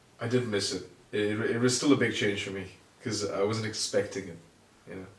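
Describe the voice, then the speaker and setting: A man talks at a fairly quick pace, with a fairly low pitch and fairly even intonation, somewhat breathy. His loudness swings widely, and room echo is audible. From Singapore. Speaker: engineering graduate. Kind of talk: casual chat. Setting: home recording in shared flat.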